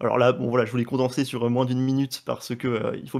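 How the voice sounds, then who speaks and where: The voice belongs to a man. He talks at a very fast pace. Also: very clean recording, silent background. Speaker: motion design teacher. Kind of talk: software course presentation. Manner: hesitant, many fillers.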